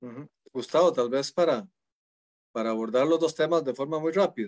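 A man's lively intonation at a moderate pace against a quiet background. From Costa Rica. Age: 40s. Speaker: judge. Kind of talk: panel discussion. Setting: video call. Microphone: video call.

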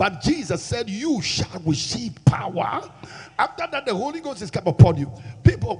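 A man at a moderate pace, pitch swinging very widely, against a quiet background. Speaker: preacher. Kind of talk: sermon. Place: church. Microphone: handheld.

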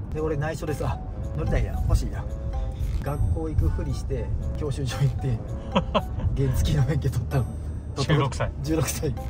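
Clear music sits in the background while a man speaks at a moderate pace with long, frequent pauses. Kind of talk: casual vlog chat. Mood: nostalgic, laughing storytelling. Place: car.

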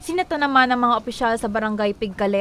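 A woman speaks very fast in a fairly high voice. Her pitch varies in an ordinary way. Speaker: news reporter. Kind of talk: news report.

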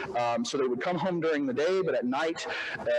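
With an American accent and a plain, everyday voice, a man speaks at a fairly high pitch with lively intonation over light background noise. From Oklahoma and Arkansas. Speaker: historian. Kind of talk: history lecture. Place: hall. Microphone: podium.

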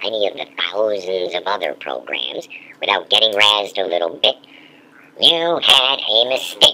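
This is a cartoonish character voice pitched low. It moves at a moderate pace. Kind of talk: library promo narration. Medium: puppet.

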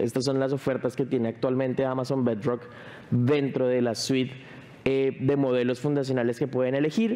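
A man speaks with ordinary pitch variation. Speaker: tech company speaker; speaker. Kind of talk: conference presentation. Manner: fast. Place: stage.

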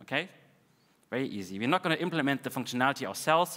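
The man's tone is bright and sharp, and the background stays quiet. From Russia. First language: Russian. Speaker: conference speaker, developer advocate; conference speaker. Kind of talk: technical conference talk. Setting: conference stage with audience. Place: hall.

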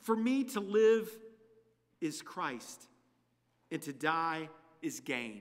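A man at a very slow pace with a bright, sharp tone and very wide pitch swings, against a quiet background. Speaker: preacher. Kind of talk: scripture reading. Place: church. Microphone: podium.

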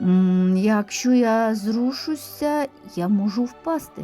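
A woman's put-on character voice, fairly high and lively in intonation, at a very slow pace over faint music in the background. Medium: read story. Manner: slow, reserved.

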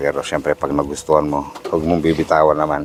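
A man with a very deep, low voice speaks at a fairly quick pace. His intonation is flat and monotone, and there is noticeable background noise. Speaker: vlogger. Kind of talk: casual vlog narration. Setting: outdoors and in a thrift store.

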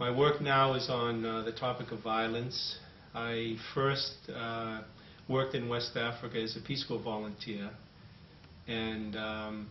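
In a Boston accent, a man talks at a fairly slow pace with monotone, flat intonation, audible room echo and light background noise. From Boston, USA. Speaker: anthropologist. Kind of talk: interview answer. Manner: hesitant, thoughtful. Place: home room. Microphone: camera far.

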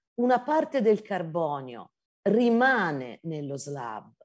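Against a quiet background, a woman speaks very slowly with very wide swings in pitch. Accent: Tuscan. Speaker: geology professor. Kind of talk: lecture. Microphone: video call.

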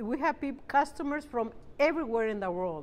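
A woman with a Spanish accent speaks at a fairly high pitch. Her pitch swings very widely against a quiet background. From Mexico, Zacatecas. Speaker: bakery owner. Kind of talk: interview monologue. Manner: halting with frequent fillers.

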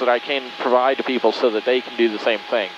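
The speaker talks at a fairly quick pace, with dry sound and no echo, over noticeable background noise. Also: man. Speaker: pilot vlogger. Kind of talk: casual vlog chat. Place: plane. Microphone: headset.

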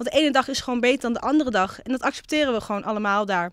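Very fast speech, dry sound with no echo, quiet background. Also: woman. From Netherlands, Twente (Almelo); Netherlands. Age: 20s. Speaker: local councillor and psychology student; local councillor. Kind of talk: interview. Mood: warm, reflective. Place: hall. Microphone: handheld.

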